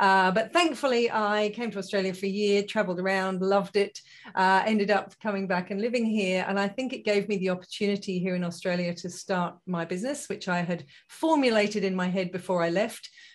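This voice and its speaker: Against a quiet background, a woman with an English accent talks at a fairly quick pace, using a medium pitch and ordinary pitch variation. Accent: English accent noticeable. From UK. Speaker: positive psychology consultant and business founder. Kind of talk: interview.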